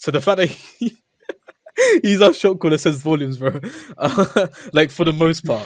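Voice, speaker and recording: Speaking at a fairly high pitch with ordinary pitch variation, a man leaves long, frequent pauses. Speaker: esports player. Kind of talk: casual chat. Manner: fast.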